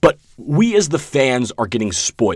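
At a fairly slow pace, a man speaks on a very clean recording with a silent background. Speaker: podcast host, student. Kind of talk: solo movie review podcast. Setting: dark storage room in a library. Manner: casual, filler-heavy.

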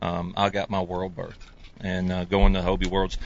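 Speaking with a Southern US accent, this man has a very deep, low pitch. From US South. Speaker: professional kayak angler. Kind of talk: casual chat. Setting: studio.

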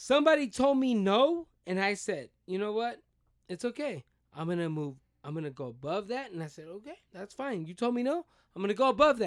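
A man's high-pitched voice at a fairly quick pace, with very wide pitch swings and big swings in loudness. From US, Mexican-American family. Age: 30s. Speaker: baseball player. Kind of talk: casual chat.

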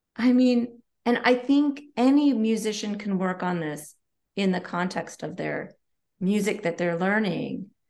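Using a plain, everyday voice, a woman of medium pitch speaks at a fairly slow pace with lively intonation. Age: 40s. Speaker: collaborative pianist. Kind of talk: podcast interview.

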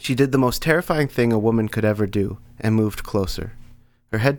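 This is plain reading aloud. Nothing more is heard in the delivery.

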